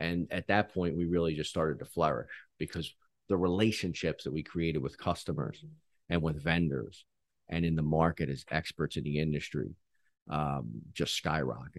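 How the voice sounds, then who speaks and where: Against a quiet background, a man with an American accent speaks in a very deep, low pitch with vocal fry. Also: ordinary pitch variation, moderate pace. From Philadelphia, US. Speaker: business owner. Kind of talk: podcast interview.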